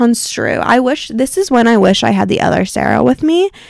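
In a dry, close sound with no echo, a woman talks at a moderate pace. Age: 20s. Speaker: podcast host. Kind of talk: casual monologue. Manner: casual, many filler words.

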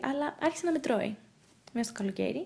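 The woman's voice sits high in pitch. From grew up abroad (Russia, Norway), Greek family. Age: young. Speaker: actress and producer. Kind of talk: casual interview.

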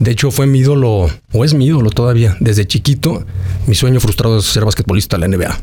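This man's voice is somewhat breathy with a dark, mellow tone. His intonation is lively. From Mexico, Aguascalientes. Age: 40s. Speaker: actor and mayoral candidate. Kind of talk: interview. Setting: restaurant.

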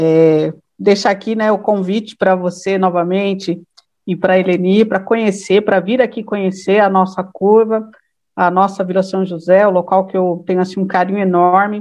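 The woman's pitch is medium and her pace moderate. Her intonation stays flat and monotone. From São Bernardo do Campo, São Paulo state, Brazil. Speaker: political activist and law student. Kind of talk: casual chat.

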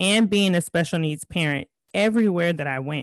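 In an American accent, a woman speaks at a moderate pace, the sound dry and close with no echo over a quiet background. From California. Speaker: podcast host, life coach. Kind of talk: personal monologue. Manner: high energy.

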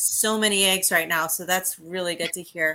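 Bright and sharp in tone, a woman speaks at a moderate pace with ordinary pitch variation on a very clean recording with a silent background. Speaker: co-host. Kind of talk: casual chat.

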